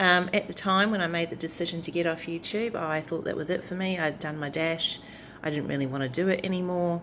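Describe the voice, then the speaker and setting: A woman speaks with a New Zealand accent at a fairly quick pace. Her intonation stays fairly even. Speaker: tarot YouTuber. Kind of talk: casual vlog chat. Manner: hesitant, many fillers.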